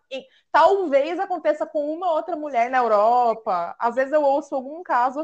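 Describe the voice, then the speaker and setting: A woman talks at a high pitch with lively intonation at a moderate pace. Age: 30s. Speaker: podcast host. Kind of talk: casual chat.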